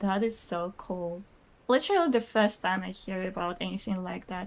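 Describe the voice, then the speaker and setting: A woman with a Russian accent talks at a moderate pace, her pitch varying in an ordinary way. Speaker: video game streamer. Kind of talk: casual live-stream chat reading viewer comments. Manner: chatty, hesitant with fillers.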